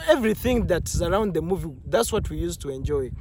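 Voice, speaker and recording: The speaker has a non-native accent. He is a man. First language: not English. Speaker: movie reviewer, vlogger. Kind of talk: casual monologue movie review. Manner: halting, many fillers and restarts.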